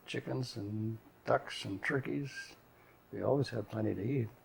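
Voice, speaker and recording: Against noticeable background noise, a man with an Upper Midwest accent speaks at a moderate pace with ordinary pitch variation. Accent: Upper Midwest American. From North Dakota. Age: 80s+. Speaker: retired grandfather. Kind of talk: oral history interview. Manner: halting.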